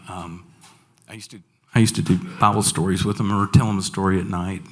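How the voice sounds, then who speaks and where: Very fast speech with an American accent and fairly even intonation. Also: man, fairly low pitch for a man. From Franklin, Tennessee. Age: 60s. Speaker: school staff member. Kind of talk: personal testimony talk to an audience.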